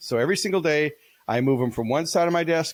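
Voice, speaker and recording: A man at a very fast pace, animated in tone and lively in intonation. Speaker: keynote speaker and business author. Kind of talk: interview.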